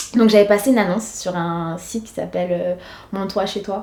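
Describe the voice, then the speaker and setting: A dark, mellow tone colors a woman's medium-pitched speech. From Senegal (Dakar). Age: 20s. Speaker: schoolteacher. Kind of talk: documentary interview. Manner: hesitant, many fillers.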